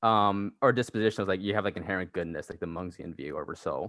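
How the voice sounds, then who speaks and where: A man speaks in a fairly low voice. His pitch varies in an ordinary way. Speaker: student at philosophy club. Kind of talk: casual discussion. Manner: fast.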